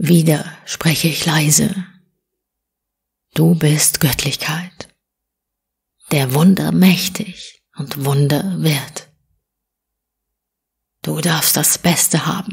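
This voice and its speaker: Her gentle tone and very deep, low pitch come at a very slow pace, with long, frequent pauses, as this woman speaks. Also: fairly even intonation. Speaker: audiobook reader. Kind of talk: spiritual poetry reading, short audiobook. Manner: soft, whispery, gentle.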